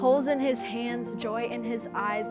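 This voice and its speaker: Music in the background behind a woman's fairly slow speech. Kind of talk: spoken word poetry performance.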